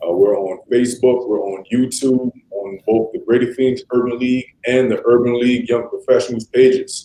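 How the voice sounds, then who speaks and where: A man's dark, mellow tone in monotone, flat intonation with hardly any pauses. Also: medium pitch for a man, moderate pace. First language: Spanish. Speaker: livestream moderator. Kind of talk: livestream panel introduction. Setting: live stream on Facebook and YouTube. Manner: casual, filler-heavy.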